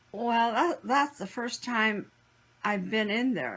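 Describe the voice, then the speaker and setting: A woman with an American accent speaks fairly slowly with a fairly high pitch and vocal fry. Her intonation is lively. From US Pacific Northwest (Washington, Oregon, Idaho). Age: 80s+. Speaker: internment camp survivor, grandmother. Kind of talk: interview, personal recollection.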